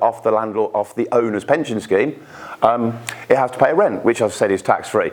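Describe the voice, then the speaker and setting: Over noticeable background noise, a man talks fairly quickly at medium pitch with ordinary pitch variation. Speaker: pension expert speaker. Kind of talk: presentation to live audience. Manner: halting, frequent repetitions.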